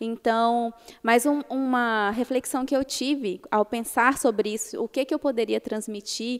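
In a very clean recording with a silent background, a woman uses a plain, everyday voice at a fairly high pitch with ordinary pitch variation. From Brazil, Minas Gerais. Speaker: lawyer. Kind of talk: interview.

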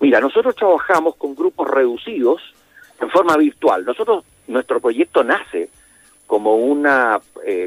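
A man at a moderate pace, with a dry, close sound and no echo. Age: 60s. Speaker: youth mentoring program director. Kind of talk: interview.

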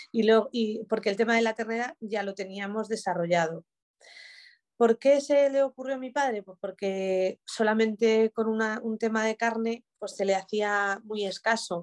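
Against a quiet background, a woman with a fairly high pitch talks in a fairly even intonation while her loudness swings widely. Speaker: business owner. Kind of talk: interview. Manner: halting.

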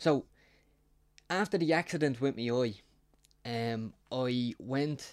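A man with a Dublin accent speaks at a medium pitch with ordinary pitch variation. The recording is very clean, with a silent background. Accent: Dublin Irish. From South Dublin, Ireland. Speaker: podcast co-host with one eye. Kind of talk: casual chat.

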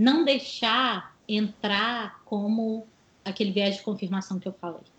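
An ordinary speaking voice: a woman at a medium pitch with ordinary pitch variation, talking at a fairly slow pace. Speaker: psychologist and career coach. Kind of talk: interview.

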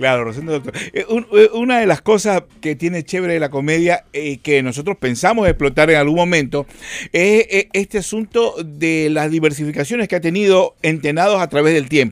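At a moderate pace, a man with a normal speaking voice and a fairly high pitch uses lively intonation over a dry, close sound with no echo. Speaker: comedy actor. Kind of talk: interview.

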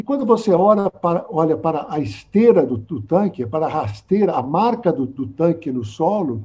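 A man's high voice with a dark, mellow tone, a fairly slow pace and very wide pitch swings. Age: 70s. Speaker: cartoonist and physician. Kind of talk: casual chat. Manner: halting, repeats words.

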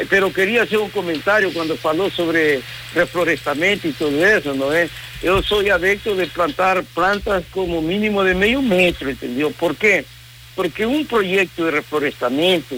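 In a Spanish accent, a man talks with a high pitch and ordinary pitch variation over noticeable background noise. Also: moderate pace. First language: Spanish (speaking Portuguese). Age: 60s. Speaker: environmental consultant and professor. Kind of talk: radio interview. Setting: remote from home.

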